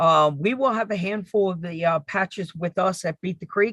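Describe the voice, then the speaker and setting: A man's high-pitched voice in a New York accent, at a moderate pace with ordinary pitch variation, dry and close with no echo, against a quiet background. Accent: Northeast US, New York. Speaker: RC hobby show host. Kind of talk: live stream casual chat. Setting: live stream.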